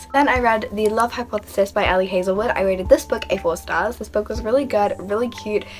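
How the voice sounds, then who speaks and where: Someone speaks at a very fast pace with music playing in the background. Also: woman, medium pitch for a woman, ordinary pitch variation, hardly any pauses. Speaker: book vlogger. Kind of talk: casual vlog monologue. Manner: animated, enthusiastic.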